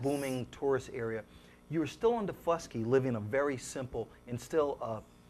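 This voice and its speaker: This man has a plain, everyday voice at a medium pitch. His pace is moderate and his pitch varies in an ordinary way. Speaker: TV talk show host. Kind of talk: interview question.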